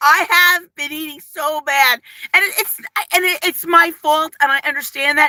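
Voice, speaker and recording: A woman speaks in an animated, raised and projected voice at a moderate pace, her pitch extremely high and her tone bright and sharp. She has an East Coast accent, and the sound is dry and close with no echo. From New Jersey. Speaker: lifestyle vlogger. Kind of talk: casual live stream chat. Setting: live stream.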